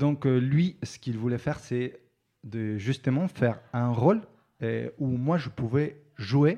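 In a Spanish accent, a man speaks very slowly with a dark, mellow tone and ordinary pitch variation against a quiet background. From Argentina. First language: Spanish (speaking French). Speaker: actor. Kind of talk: interview. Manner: halting.

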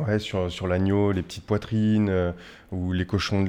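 Against a quiet background, a man speaks fairly slowly in a very deep, low voice. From western France, Poitiers. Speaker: chef. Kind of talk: interview. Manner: hesitant, many fillers.

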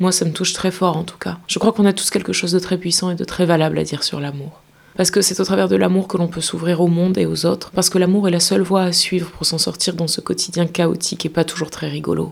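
Very fast and with hardly any pauses, a woman talks in a monotone, flat intonation at a fairly low pitch. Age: 30s. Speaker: podcast host and actress. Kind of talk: scripted narration. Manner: intimate.

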